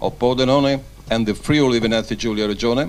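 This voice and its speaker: Speaking at a moderate pace, a man with an Italian accent shows ordinary pitch variation. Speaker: sports journalist, presenter. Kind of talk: event presenting. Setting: press conference.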